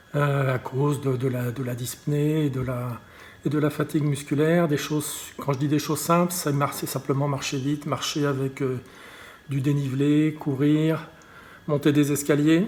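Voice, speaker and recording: A man speaks in a monotone, with flat intonation. His pitch is fairly high. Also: moderate pace. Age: 60s. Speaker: patient advocate. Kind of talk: testimony. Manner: halting, many repetitions and fillers.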